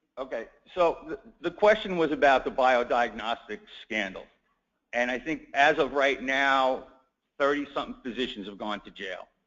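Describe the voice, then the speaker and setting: Speaking at a moderate pace, a man with a New York accent uses lively intonation. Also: medium pitch for a man. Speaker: healthcare attorney. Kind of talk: conference talk.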